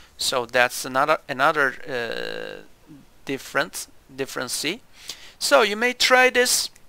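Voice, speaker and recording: A man with a Turkish accent speaks at a very slow pace in a bright, sharp tone on a very clean recording with a silent background. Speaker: gaming youtuber, historian. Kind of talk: game review commentary. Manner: halting, many fillers.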